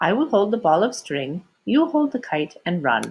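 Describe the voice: A woman's put-on character voice, fairly low-pitched, with big swings in pitch and a slightly husky edge. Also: moderate pace.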